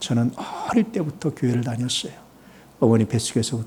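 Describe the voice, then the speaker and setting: At a very fast pace, a man with a medium-pitched, somewhat breathy voice speaks. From Korea, Chungcheong region. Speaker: pastor. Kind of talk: sermon.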